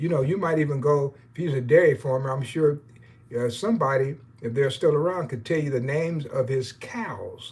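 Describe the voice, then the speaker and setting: At a moderate pace, a man talks with a fairly high pitch and ordinary pitch variation. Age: 60s. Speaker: baseball historian and YouTuber. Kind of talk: live stream chat. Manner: hesitant, many fillers; casual, rambling.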